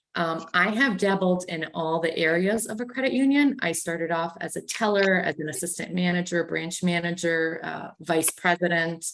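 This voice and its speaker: Over noticeable background noise, a woman with a slight Canadian accent speaks at a moderate pace, with a fairly low pitch and ordinary pitch variation. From Canada. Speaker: credit union executive. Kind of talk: panel discussion.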